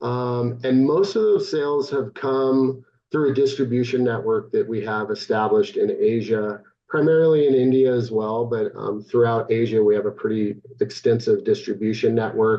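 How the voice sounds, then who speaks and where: A man with a medium pitch speaks at a moderate pace, his pitch varying in an ordinary way. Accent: West Coast. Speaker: equipment vendor sales presenter. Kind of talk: conference presentation. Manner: hesitant, many fillers.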